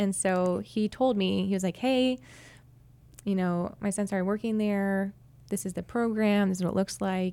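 In a very clean recording with a silent background, a woman with an American accent speaks in a dark, mellow tone at medium pitch, with fairly even intonation and a moderate pace. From New Hampshire, US. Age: 20s. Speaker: church worship leader. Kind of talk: interview.

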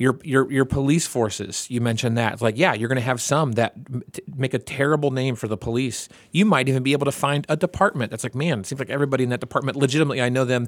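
At a medium pitch, a man talks at a very fast pace. He has ordinary pitch variation and hardly any pauses. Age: 40s. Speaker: podcast host. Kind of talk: casual chat.

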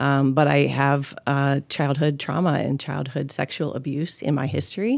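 Vocal fry at a moderate pace with fairly even intonation and hardly any pauses, in a very clean recording with a silent background. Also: woman, very deep, low pitch for a woman. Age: 40s. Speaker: church staff member sharing her story. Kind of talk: testimony. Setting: studio.

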